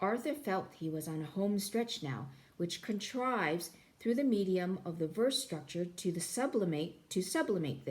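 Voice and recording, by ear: Natural-voiced reading aloud full of lively intonation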